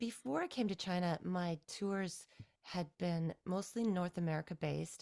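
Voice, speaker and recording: A woman speaks in a normal speaking voice with a Canadian accent, at a medium pitch and a fairly slow pace, in a dry, close sound with no echo. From Ontario, Canada (near Toronto). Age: 40s. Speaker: singer-songwriter. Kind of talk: interview.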